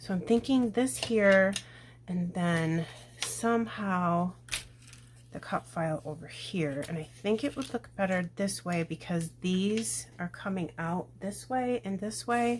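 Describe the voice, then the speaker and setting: A woman whispers at a very slow pace. Her voice is somewhat breathy. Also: big swings in loudness. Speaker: scrapbooking crafter. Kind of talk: crafting tutorial. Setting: at home. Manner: whispering; casual, thinking aloud.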